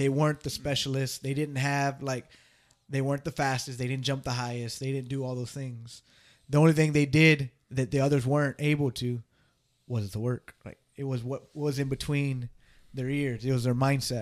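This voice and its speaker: The man's intonation is monotone and flat. His pitch sits in the medium range. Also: moderate pace. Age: 30s. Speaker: podcast co-host and business owner. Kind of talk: casual chat.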